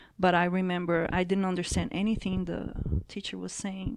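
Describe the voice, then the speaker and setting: In a Portuguese accent, a woman with a medium pitch speaks at a moderate pace in monotone, flat intonation on a very clean recording with a silent background. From Brazil. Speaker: jiu-jitsu athlete. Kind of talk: casual chat.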